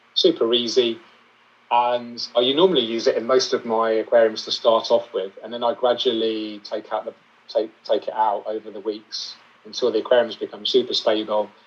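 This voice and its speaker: A man talks with a British accent. His pace is moderate. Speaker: aquascaper and aquarium YouTuber. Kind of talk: interview.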